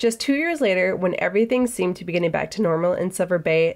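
Over a quiet background, a woman speaks with an American accent. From US Midwest, northern Minnesota. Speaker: podcast host. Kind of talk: solo history talk. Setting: office. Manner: casual, conversational. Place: office.

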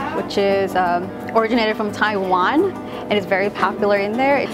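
Clear music plays in the background while a woman talks. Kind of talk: interview answer. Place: cafe.

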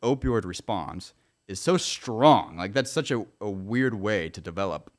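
Speaking in a plain, everyday voice with an American accent, a man with a fairly low pitch and lively intonation goes at a fairly slow pace in a very clean recording with a silent background. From US Midwest, Kansas. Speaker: journalist and YouTuber. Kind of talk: interview conversation.

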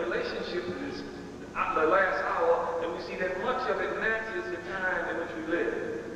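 The recording carries a strong room echo along with light background noise. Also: man. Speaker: religious lecturer. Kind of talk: lecture.

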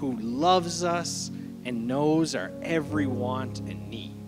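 Over clear music in the background, a man talks at a very slow pace. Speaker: speaker. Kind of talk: sermon. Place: church. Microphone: handheld.

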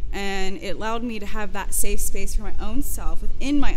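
A woman's voice with music in the background. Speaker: interviewee. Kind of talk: interview answer. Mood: reflective, light laughter. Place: garden. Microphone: studio mic.

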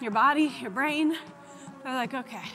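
Clear music plays behind a raised, projected voice that moves at a moderate pace with ordinary pitch variation. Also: woman. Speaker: fitness coach. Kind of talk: workout instruction. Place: studio. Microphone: lapel.

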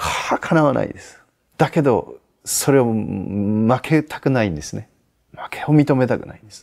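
A man with a medium pitch talks at a moderate pace with lively intonation and big swings in loudness, over a quiet background. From Aichi, Japan. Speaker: Zen Buddhist priest giving life advice. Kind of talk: advice answer to viewer letter, sermon-like talk. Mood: calm, gentle, reflective. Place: garden. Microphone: lapel.

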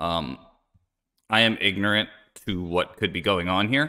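In a quiet background, a man with an American accent talks at a moderate pace, his very deep, low pitch carrying a bright, sharp tone. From US Northeast, Philadelphia. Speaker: game streamer. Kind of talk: live gameplay commentary. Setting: live stream. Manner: casual, frequent filler words. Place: home room. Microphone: studio mic.

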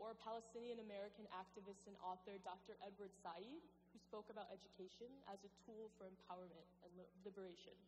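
Light background noise sits behind a woman's voice. She speaks at a fairly quick pace with monotone, flat intonation. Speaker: speaker. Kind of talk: commencement speech. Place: hall.

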